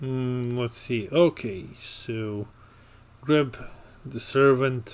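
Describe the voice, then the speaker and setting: A man's very slow delivery with fairly even intonation. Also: medium pitch for a man. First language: not English. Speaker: card game commentator. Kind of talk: live commentary. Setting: livestream.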